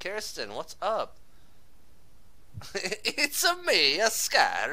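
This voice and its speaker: A man speaks with long, frequent pauses and big swings in loudness. There is noticeable background noise. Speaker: gaming streamer. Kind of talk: casual chat. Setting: live stream.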